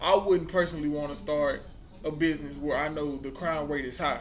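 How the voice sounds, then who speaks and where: Fairly even intonation and a Mississippi accent are heard with audible room echo and noticeable background noise. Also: man. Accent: Southern US, Mississippi. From US South. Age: young. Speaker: college student vlogger. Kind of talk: casual vlog talk. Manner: halting.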